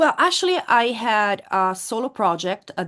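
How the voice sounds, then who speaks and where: Against a quiet background, a woman speaks at a very slow pace with an Italian accent. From Italy, Florence. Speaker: metal singer. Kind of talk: interview. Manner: halting.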